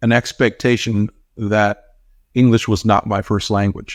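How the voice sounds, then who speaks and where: A man with a Spanish accent speaks at a fairly slow pace with a fairly low pitch. The sound is dry and close with no echo, on a very clean recording with a silent background. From United States. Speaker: talent recruiter. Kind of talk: interview. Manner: hesitant with fillers.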